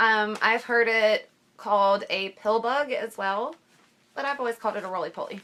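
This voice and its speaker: With an Ohio accent, a woman speaks at a moderate pace. Her pitch is fairly high. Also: ordinary pitch variation. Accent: Ohio, Midwestern US. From southern Ohio. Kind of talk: casual talk to camera.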